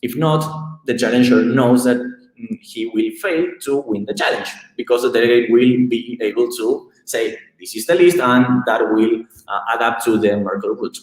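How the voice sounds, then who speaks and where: A man's medium-pitched voice moves at a moderate pace, with ordinary pitch variation. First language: not English. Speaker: tech company co-founder presenting research. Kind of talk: technical presentation. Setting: live stream. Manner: halting, many fillers.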